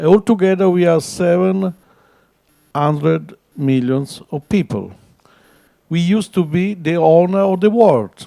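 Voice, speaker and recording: With an Italian accent and a dark, mellow tone, the speaker moves at a fairly slow pace with long, frequent pauses and ordinary pitch variation on a very clean recording with a silent background. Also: man, high pitch for a man. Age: 60s. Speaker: architect. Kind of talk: panel talk. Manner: halting.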